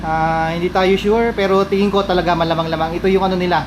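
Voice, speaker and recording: Over noticeable background noise, a man speaks at a very fast pace with a high pitch. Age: 40s. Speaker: travel vlogger. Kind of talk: vlog narration. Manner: animated.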